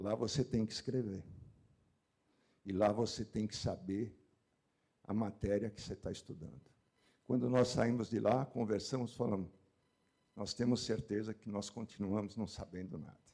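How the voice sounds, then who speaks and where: Long, frequent pauses break up a man's speech at a moderate pace. His voice is fairly low with a dark, mellow tone and ordinary pitch variation. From São Paulo, Brazil. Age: 70s. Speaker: meat industry executive. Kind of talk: panel discussion.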